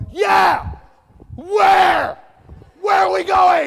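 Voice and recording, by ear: An extremely high-pitched, put-on character voice is shouting. Crowd noise fills the background.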